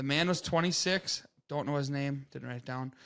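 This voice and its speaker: Fairly high male voice, with ordinary pitch variation and a fairly quick pace. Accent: Upper Midwest. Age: 20s. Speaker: podcast co-host. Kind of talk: casual chat.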